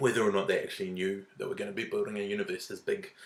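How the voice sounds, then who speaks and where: Words come out at a very fast pace. Behind them, background noise is noticeable. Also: man. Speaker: YouTube film reviewer. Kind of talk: casual vlog review. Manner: halting, filler-heavy.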